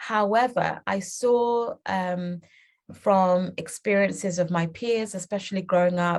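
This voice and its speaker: A woman speaks at a fairly slow pace against a quiet background. Her voice sits at a medium pitch with fairly even intonation. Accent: British. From England (UK), born in Uganda. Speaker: children's book author and publisher. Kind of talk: interview.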